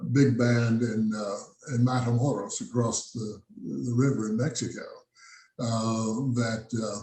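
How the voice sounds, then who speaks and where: With an American accent, a man talks at a very slow pace in a somewhat breathy, medium-pitched voice with fairly even intonation, and audible room echo surrounds him. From South Texas. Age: 80s+. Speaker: jazz musician. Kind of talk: interview. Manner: halting.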